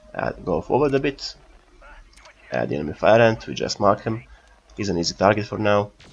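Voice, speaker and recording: Over noticeable background noise, the speaker uses very wide pitch swings and long, frequent pauses. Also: man, fairly low pitch for a man. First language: not English. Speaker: gaming youtuber. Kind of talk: gameplay commentary. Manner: halting.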